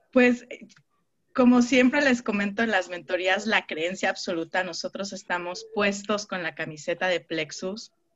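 A woman talks at a medium pitch and a fairly slow pace, with ordinary pitch variation. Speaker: network marketing team leader. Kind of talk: online mentoring session. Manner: animated.

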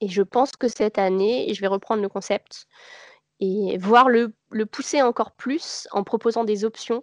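A woman talks at a fairly slow pace in a normal speaking voice with fairly high pitch. The sound is dry and close with no echo, over a quiet background. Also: ordinary pitch variation. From Paris region, France. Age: 30s. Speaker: knitwear designer and charity founder. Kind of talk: casual interview.

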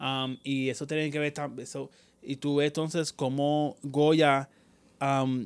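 A man with a plain, everyday voice speaks at a fairly slow pace and a fairly high pitch, recorded very cleanly against a silent background. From United States. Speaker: podcast host, film reviewer. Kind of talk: casual chat.

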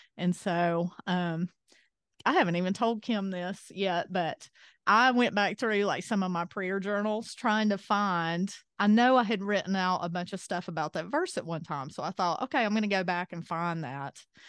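Against a quiet background, a woman speaks in an Appalachian accent at medium pitch. She keeps a moderate pace and ordinary pitch variation. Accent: Southern US (Appalachian). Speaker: podcast host. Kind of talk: casual chat.

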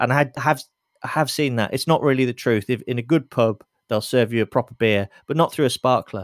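With an English accent, a man speaks at a fairly quick pace with ordinary pitch variation in a dry, close sound with no echo. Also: medium pitch for a man. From England, Lincoln. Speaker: beer writer and photographer. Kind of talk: casual interview. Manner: halting, repeats words.

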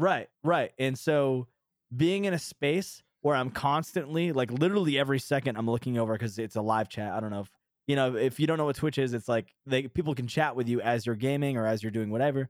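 In an ordinary speaking voice with an American accent, a man talks at a fairly quick pace and medium pitch with ordinary pitch variation, in a dry, close sound with no echo. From New Hampshire, US. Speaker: music producer and Twitch streamer. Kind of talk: casual podcast interview.

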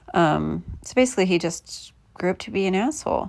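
In a very clean recording against a silent background, a woman with an American accent speaks at a fairly slow pace. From US Midwest (Indianapolis). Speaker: podcaster. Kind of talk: casual monologue.

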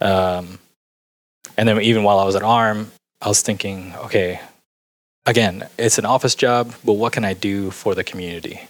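A man speaks at a moderate pace in a monotone, flat way. The recording is very clean, with a silent background. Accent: American. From US, Houston suburbs. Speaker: designer and artist. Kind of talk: casual interview.

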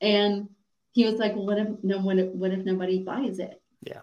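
A woman speaks in an American accent at a medium pitch. Her tone is dark and mellow. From US South, Atlanta, Georgia. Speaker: cognitive behavioral coach and speaker. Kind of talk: podcast interview.

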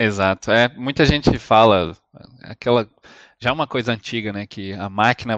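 A man's ordinary speaking voice, fairly low in pitch, at a moderate pace with fairly even intonation, big swings in loudness, and a dry, close sound with no echo. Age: 30s. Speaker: podcast host. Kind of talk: interview.

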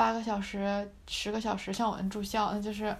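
At a moderate pace, a woman speaks in a fairly high voice. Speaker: university student podcast host. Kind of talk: casual chat.

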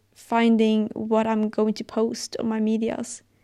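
A woman with a fairly high pitch and a dark, mellow tone speaks at a fairly slow pace. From Sweden. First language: Swedish. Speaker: podcast host, fitness and wellness advice creator. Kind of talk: solo podcast monologue, personal and motivational. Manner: halting, searching for words, sincere.

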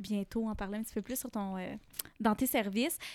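A woman speaks with fairly high pitch and fairly even intonation. The recording is very clean, with a silent background. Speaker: podcast host and yoga teacher. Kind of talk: casual interview chat.

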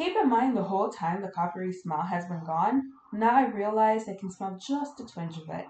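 A woman with a medium pitch at a moderate pace, animated in tone and lively in intonation, with big swings in loudness, hardly any pauses and noticeable background noise. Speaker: podcast co-host. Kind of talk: ghost story reading aloud. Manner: animated, casual, swearing-heavy retelling.

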